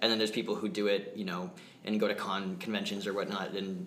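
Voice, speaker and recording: A man at a fairly low pitch and fairly quick pace, with fairly even intonation, audible room echo and noticeable background noise. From New Hampshire, US. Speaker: community theatre actor. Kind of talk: interview.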